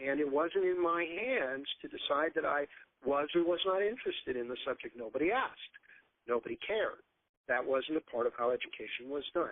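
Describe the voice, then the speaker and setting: A normal speaking voice: a man with fairly high pitch, lively intonation and a fairly quick pace. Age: 60s. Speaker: homeschool curriculum author. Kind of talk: podcast talk on education.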